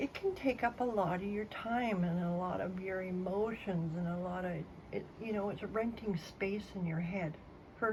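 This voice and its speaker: A woman's medium-pitched, somewhat breathy voice moves with ordinary pitch variation. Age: 50s. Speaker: vlogger. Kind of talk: casual monologue. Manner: slow.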